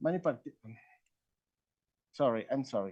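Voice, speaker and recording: A man's dark, mellow tone at a moderate pace, with a Spanish accent. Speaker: research professor. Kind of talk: conference presentation. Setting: conference. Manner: halting.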